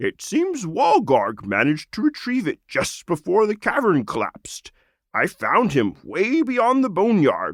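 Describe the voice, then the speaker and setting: A man's high, croaky put-on character voice at a moderate pace, on a very clean recording with a silent background. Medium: read story. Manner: rambling, genial.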